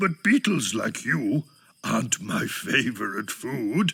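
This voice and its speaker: A man performs a put-on character voice at a very slow pace. His pitch swings very widely. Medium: read story.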